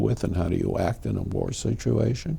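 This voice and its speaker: A man's dark, mellow voice with vocal fry. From New Britain, Connecticut. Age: 70s. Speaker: war veteran. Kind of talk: oral history interview.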